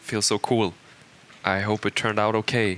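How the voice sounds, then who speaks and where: A fairly low-pitched man with a Swedish accent at a moderate pace, over noticeable background noise. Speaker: game creative director. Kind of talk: audio commentary. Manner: halting, many fillers.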